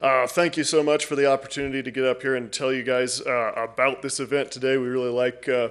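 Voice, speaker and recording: A man's very fast, flat, monotone delivery with hardly any pauses, over a quiet background. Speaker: library staff presenting to council. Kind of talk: public presentation. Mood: friendly, slightly nervous. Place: hall. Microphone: podium.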